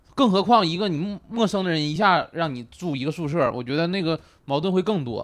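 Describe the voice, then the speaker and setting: A high-pitched man at a fairly quick pace, with lively intonation. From Northeast China. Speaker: comedian. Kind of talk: casual chat.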